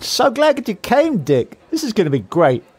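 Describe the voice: Putting on a character voice, a man speaks high with a slightly husky edge. His pitch swings very widely at a moderate pace.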